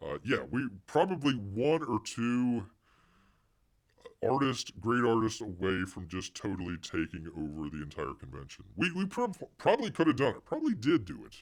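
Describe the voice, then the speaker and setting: A man's voice with vocal fry, very wide pitch swings and big swings in loudness. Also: medium pitch for a man, moderate pace. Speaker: live-stream host, comics commentator. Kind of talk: casual live-stream chat.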